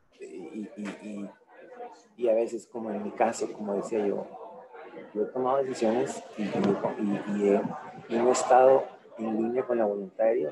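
With noticeable background noise, a man of medium pitch and ordinary pitch variation speaks at a fairly slow pace, leaving long, frequent pauses. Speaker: attendee. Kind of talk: casual chat. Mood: reflective, personal. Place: meeting room. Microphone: camera far.

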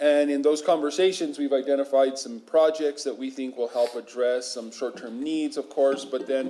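Hardly pausing at all, a man talks at a moderate pace. His intonation is fairly even. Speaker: state official presenting to council. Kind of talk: formal presentation. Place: meeting room.

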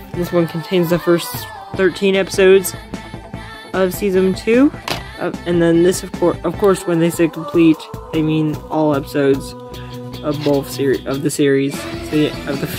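Long, frequent pauses break up speech at a moderate pace, with clear music in the background. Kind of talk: casual collection show-and-tell. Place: home room. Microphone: phone near.

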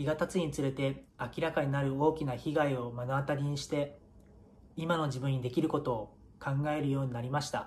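Over light background noise, a man talks in a flat monotone at a fairly quick pace, his voice somewhat breathy and fairly high-pitched. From Japan, Miyagi (Iwanuma); Japan. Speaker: professional footballer. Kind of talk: prepared video message. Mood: earnest, solemn remembrance. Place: home room. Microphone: phone near.

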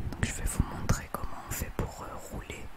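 The clip holds a woman's whisper. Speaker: home cook. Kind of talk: ASMR cooking tutorial. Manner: whispered, soft-spoken. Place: kitchen.

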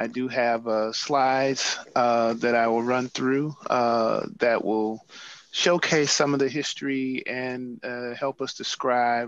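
A man with an American accent speaks at a very slow pace in a monotone, flat intonation, the sound dry with no echo. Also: medium pitch for a man. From US Midwest, St. Louis; US Midwest. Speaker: museum curator. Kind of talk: presentation with slides. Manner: halting, many fillers. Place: office. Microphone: video call.

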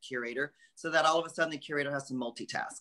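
Against a quiet background, a man with an American accent speaks at a fairly high pitch in a bright, sharp tone. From California. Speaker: art curator; guest. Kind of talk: interview. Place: home room. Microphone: video call.

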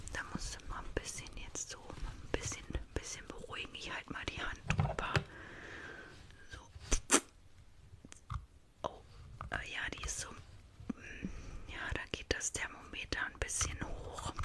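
A woman is whispering in a gentle tone at a very slow pace. Long, frequent pauses break up her speech. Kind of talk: role-play vet consultation, soft ASMR-style talk. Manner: soft ASMR murmur, gentle calming. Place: home room. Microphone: studio mic.

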